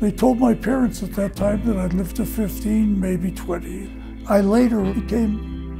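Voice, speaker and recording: A man talks at a moderate pace. Music plays clearly behind him. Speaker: type 1 diabetic of 77 years. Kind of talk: interview answer. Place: home room. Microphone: lapel.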